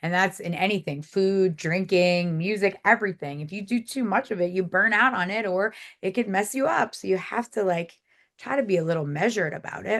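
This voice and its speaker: Speaking at a fairly quick pace with a New Jersey accent, a woman keeps a medium pitch with ordinary pitch variation. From South Jersey, near Philadelphia. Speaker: music publicist. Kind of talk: podcast interview.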